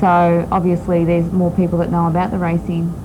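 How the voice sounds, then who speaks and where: Against noticeable background noise, a woman with an Australian accent speaks at a fairly quick pace. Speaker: top fuel drag racer. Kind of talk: TV interview. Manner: hesitant, many ums.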